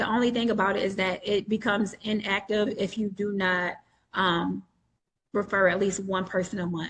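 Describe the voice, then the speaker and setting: A woman with an American accent speaks at a moderate pace in a medium pitch, her voice somewhat breathy. Her intonation stays fairly even against a quiet background. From New York State. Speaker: entrepreneur selling credit trade lines. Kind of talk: webinar Q&A explanation. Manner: casual, frequent filler ums.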